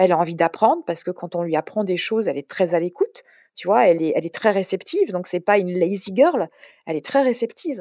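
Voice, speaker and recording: A woman's medium-pitched, dark and mellow voice at a very fast pace, with ordinary pitch variation and a dry, close sound with no echo. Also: very clean recording, silent background. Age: 40s. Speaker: content producer and trainer. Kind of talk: casual chat.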